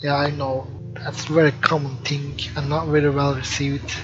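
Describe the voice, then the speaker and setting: Over noticeable background noise, a man with a non-native accent speaks slowly-ish in a fairly high pitch and a monotone, flat intonation. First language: not English. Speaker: game developer. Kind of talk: let's play commentary. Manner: hesitant, filler words. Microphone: poor microphone quality.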